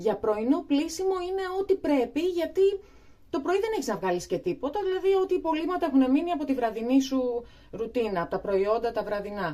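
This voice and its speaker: Noticeable background noise is audible as a woman speaks at a moderate pace. Her high voice makes very wide pitch swings. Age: 40s. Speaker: beauty vlogger. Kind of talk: tutorial. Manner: hesitant, many fillers.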